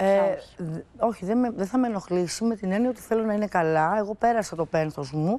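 A woman talks at a fairly quick pace with hardly any pauses, her pitch medium and its variation ordinary. Her tone is dark and mellow, and the sound is dry with no echo. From Greece. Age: 50s. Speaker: TV guest discussing her divorce; TV guest. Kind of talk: talk show interview. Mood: reflective, personal, calm. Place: studio. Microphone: lapel.

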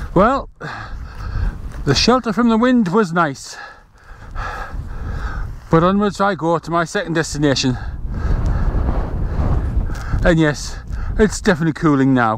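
With a high pitch, a man talks with long, frequent pauses, the sound dry with no echo and noticeable background noise behind him. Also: moderate pace. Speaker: solo hiker vlogger. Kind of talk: travel vlog narration. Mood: calm, appreciative. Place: open country.

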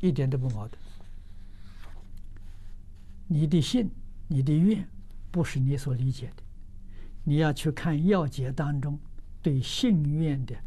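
Dark and mellow in tone, a somewhat breathy man talks fairly slowly with long, frequent pauses and ordinary pitch variation. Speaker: Buddhist teacher answering questions. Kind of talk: sermon. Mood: calm, gently smiling. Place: studio.

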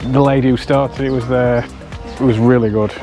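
With clear music in the background, a man talks at a moderate pace with fairly even intonation, the sound dry with no echo. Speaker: travel vlogger. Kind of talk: casual vlog chat. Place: street. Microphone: lapel.

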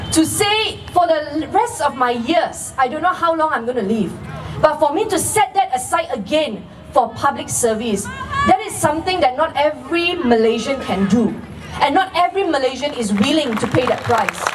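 At a moderate pace, a woman speaks at a high pitch amid noticeable background noise. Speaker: candidate. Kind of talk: campaign rally speech. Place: stage.

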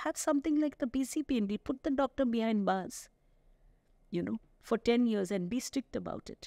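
A woman with a fairly high pitch and a dark, mellow tone talks at a moderate pace with lively intonation, in a dry sound with no echo against a quiet background. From India. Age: 60s. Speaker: gynecologist; guest. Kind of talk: interview. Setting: studio. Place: studio. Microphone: studio mic.

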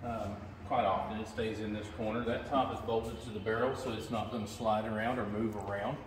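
With audible room echo and noticeable background noise, a man talks at a moderate pace. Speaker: venue host giving a tour. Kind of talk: tour guide explanation. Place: hall. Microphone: phone near.

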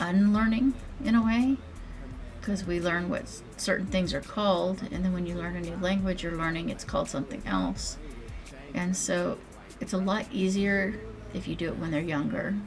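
Music plays in the background as a woman speaks at a moderate pace with long, frequent pauses. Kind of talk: casual vlog chat. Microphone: webcam.

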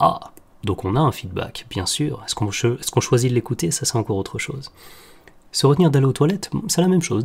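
A man talks fairly quickly in a somewhat breathy voice, his pitch swinging very widely. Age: 30s. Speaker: health podcaster. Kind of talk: solo podcast monologue. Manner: hesitant, many fillers.

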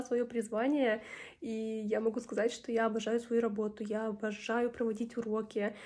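Her voice is fairly high in pitch yet dark and mellow in tone. The woman talks at a fairly quick pace with monotone, flat intonation. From Ukraine. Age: 20s. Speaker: English teacher. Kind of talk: testimonial. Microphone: phone near.

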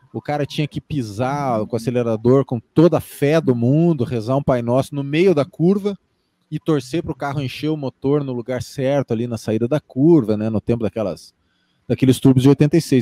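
The man's fairly high voice has a dark, mellow tone, heard dry with no echo. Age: 40s. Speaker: F1 YouTuber and podcaster, physician; interview guest, podcast host. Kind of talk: casual interview chat. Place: home room. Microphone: studio mic.

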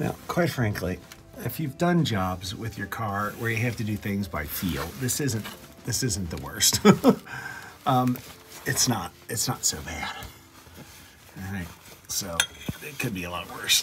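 Faint music plays in the background as a man speaks with a fairly low pitch at a fairly slow pace with long, frequent pauses. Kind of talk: tutorial. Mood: wry, self-mocking. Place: garage. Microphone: phone near.

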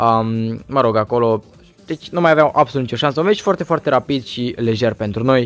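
A voice with ordinary pitch variation moves at a fairly quick pace over music in the background. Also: man, medium pitch for a man. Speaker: gaming youtuber. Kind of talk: gameplay commentary. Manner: halting.

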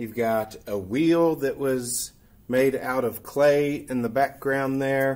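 At a very slow pace, a man talks with ordinary pitch variation. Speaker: teacher. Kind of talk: informal presentation and show-and-tell. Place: classroom. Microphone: webcam.

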